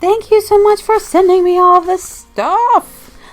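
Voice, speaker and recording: A woman's voice with music in the background. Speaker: zine enthusiast. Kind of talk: casual talk to camera.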